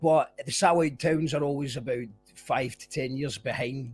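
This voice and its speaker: Over music in the background, a man with a Scottish accent talks at a fairly quick pace in a fairly high pitch, his intonation fairly even. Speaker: podcast host. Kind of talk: casual interview chat.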